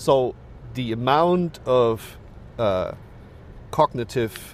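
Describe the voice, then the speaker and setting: A man's medium-pitched voice with a German accent and ordinary pitch variation. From Germany. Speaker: professor. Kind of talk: podcast interview. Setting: recorded with bird sounds in background.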